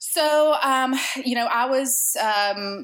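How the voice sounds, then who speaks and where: This is a woman speaking. Her Southern US accent is strong. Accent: thick Southern. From US South, Georgia. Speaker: podcast guest sharing fertility story. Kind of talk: interview, personal story.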